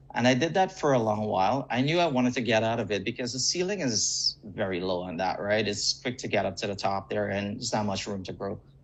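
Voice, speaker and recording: Over noticeable background noise, a man with a fairly low pitch races along at a very fast pace with hardly any pauses. His intonation is lively. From Guyana. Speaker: real estate agent. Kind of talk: interview.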